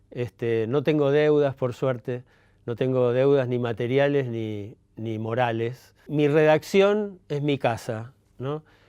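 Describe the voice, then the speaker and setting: At a very slow pace, a man speaks with a dark, mellow tone at medium pitch, with ordinary pitch variation. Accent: Rioplatense. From Argentina, Buenos Aires. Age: 70s. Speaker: journalist and writer. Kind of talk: interview monologue. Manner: halting, many fillers.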